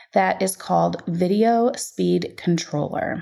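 Over a very clean recording with a silent background, a woman uses a normal speaking voice at a fairly slow pace with ordinary pitch variation. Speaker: podcast host. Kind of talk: solo podcast episode, casual monologue. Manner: upbeat, chatty, laughs often.

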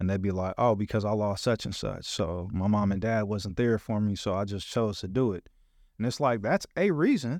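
A man's fairly low-pitched voice, a normal speaking voice with an American accent, ordinary pitch variation and a moderate pace over a quiet background. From Los Angeles, US West Coast. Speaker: Navy veteran and podcast host. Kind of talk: casual interview.

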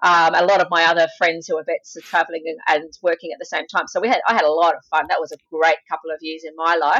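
A woman with an Australian accent speaks very fast at a fairly low pitch, with fairly even intonation and big swings in loudness. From Australia, Sydney. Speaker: veterinarian. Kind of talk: interview. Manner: hesitant with fillers. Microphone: poor audio quality at the start.

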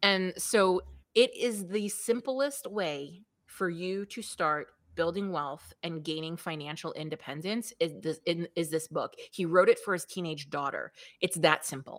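Delivered in a New York accent, the speech moves at a fairly slow pace with ordinary pitch variation. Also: woman, fairly low pitch for a woman. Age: 40s. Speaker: business coach. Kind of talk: interview.

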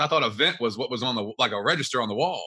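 A very fast-talking man with a Kentucky accent, over noticeable background noise. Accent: Kentucky Southern US. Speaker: real estate investor. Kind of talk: interview.

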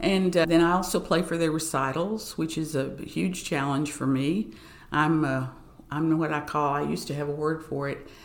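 A woman with an Appalachian accent, very deep, low pitch, fairly even intonation and moderate pace, with audible room echo. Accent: Appalachian Southern US. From Southwest Virginia and East Tennessee. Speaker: arts administrator and pianist. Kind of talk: casual interview.

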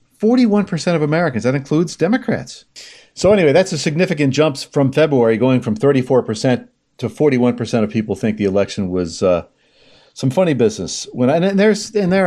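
Against a quiet background, a man races along at a very fast pace in a dark, mellow tone with very wide pitch swings. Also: very even loudness. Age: 60s. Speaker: podcast host. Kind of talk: political commentary.

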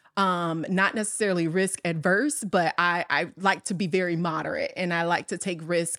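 On a very clean recording with a silent background, a woman with an American accent and an unremarkable speaking voice speaks at a moderate pace, with a medium pitch and fairly even intonation. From US Midwest, south side of Chicago. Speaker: corporate operations executive. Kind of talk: casual interview chat.

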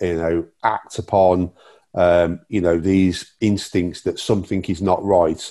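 Speaking with an English accent at a fairly slow pace, a man uses a very deep, low pitch and a dark, mellow tone. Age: 50s. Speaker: community safety officer, former police officer. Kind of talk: interview. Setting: remote call. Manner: halting.

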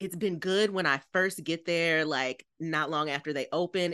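A normal speaking voice at a fairly quick pace. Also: woman. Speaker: podcast co-host. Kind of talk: casual chat.

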